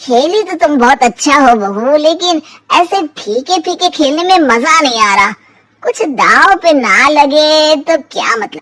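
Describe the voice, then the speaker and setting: A woman performs a cartoonish character voice, pitched high. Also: moderate pace, lively intonation. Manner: sly, mocking, self-satisfied.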